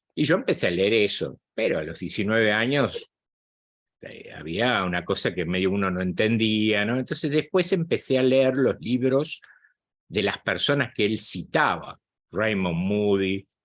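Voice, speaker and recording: Lively intonation lifts a plain, everyday voice that proceeds fairly slowly. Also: man, fairly low pitch for a man. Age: 60s. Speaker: psychologist and spiritual channel host. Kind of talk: guest talk to online group.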